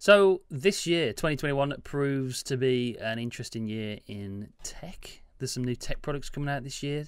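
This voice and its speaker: Speaking with hardly any pauses, a man with a plain, everyday voice keeps a moderate pace and a fairly high pitch with ordinary variation. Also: very clean recording, silent background. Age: 30s. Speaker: tech podcast co-host, YouTuber. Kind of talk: casual chat.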